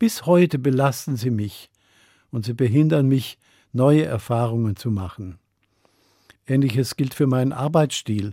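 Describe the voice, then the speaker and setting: Over a silent background in a very clean recording, a man with a medium pitch and a dark, mellow tone talks at a fairly slow pace with ordinary pitch variation and long, frequent pauses. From Germany, Upper Swabia. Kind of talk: radio sermon.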